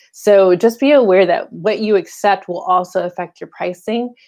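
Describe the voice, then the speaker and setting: Her speech, a woman's, shows ordinary pitch variation. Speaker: fashion incubator director. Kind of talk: informal educational talk. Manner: fast; animated.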